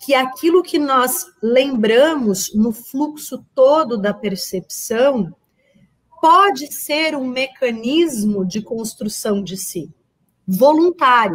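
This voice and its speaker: Lively intonation in a woman's high-pitched voice. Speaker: workshop teacher. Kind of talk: online lecture.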